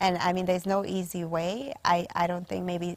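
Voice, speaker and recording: At a moderate pace, a woman speaks with a fairly low pitch. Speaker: panel guest speaker. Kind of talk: panel discussion. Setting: virtual session. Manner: soft-spoken; hesitant with fillers.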